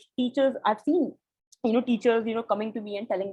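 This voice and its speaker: A somewhat breathy voice with a dark, mellow tone rushes along at a very fast pace. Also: woman. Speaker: educator. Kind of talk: webinar presentation. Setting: online webinar.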